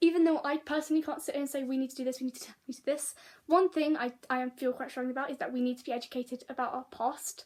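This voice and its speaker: A woman with a British accent, high in pitch, at a very fast pace with fairly even intonation. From Britain. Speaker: vlogger. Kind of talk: casual vlog monologue. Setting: sitting, talking to camera. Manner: halting, many fillers and restarts.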